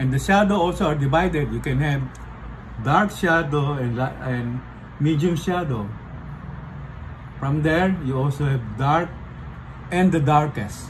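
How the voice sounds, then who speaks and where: A man with a non-native accent talks at a fairly slow pace with long, frequent pauses, his fairly high pitch showing ordinary variation over noticeable background noise. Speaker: portrait artist. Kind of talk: art tutorial explanation. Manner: casual, hesitant with fillers.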